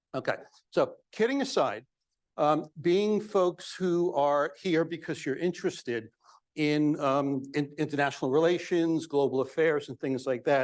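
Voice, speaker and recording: A fairly slow man with a New York accent, a fairly high pitch, ordinary pitch variation, and a quiet background. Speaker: psychologist, guest speaker. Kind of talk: public talk. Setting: banquet hall with audience.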